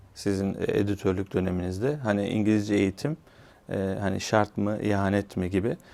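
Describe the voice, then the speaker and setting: A plain, everyday voice comes from a man with a fairly low pitch speaking at a moderate pace. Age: 40s. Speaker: TV and radio presenter. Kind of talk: interview. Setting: studio.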